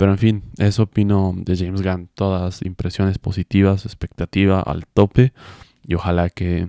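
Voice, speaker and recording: A man speaks at a fairly slow pace in a very deep, low voice with a dark, mellow tone. The recording is very clean with a silent background, and the sound is dry and close with no echo. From Bolivia, Cochabamba. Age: 20s. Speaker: podcast host. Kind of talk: casual solo chat.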